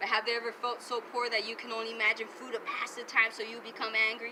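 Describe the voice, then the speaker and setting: Talking at a very fast pace, a woman with a fairly high pitch is heard over noticeable background noise. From Arizona border region. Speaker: spoken word poet. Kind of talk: spoken word poetry performance. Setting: outdoors.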